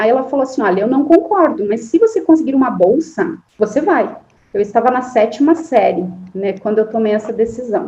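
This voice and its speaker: A woman with a strong southern Brazilian accent, a high pitch, a dark, mellow tone, very wide pitch swings and a fairly quick pace. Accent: strong southern Brazilian interior. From Santa Catarina interior, Brazil (near Paraná border). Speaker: forestry engineering professor. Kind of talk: interview.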